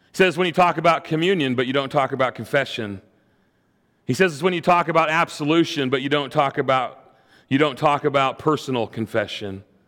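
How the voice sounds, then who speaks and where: A man with a plain, everyday voice at a fairly high pitch. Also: ordinary pitch variation. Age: 40s. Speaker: pastor. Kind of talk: sermon.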